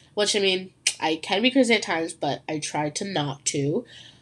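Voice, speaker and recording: A woman speaks at a fairly slow pace with very wide pitch swings. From Ontario, Canada. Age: young. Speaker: podcast host. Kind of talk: casual solo chat. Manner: animated.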